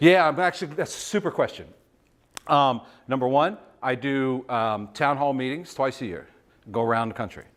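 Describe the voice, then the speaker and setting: The speaker has an American accent and lively intonation at a moderate pace. There are long, frequent pauses, and the recording is very clean with a silent background. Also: man, medium pitch for a man. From Virginia, Shenandoah Valley. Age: 50s. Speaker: business executive, guest speaker. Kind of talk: talk with audience Q&A.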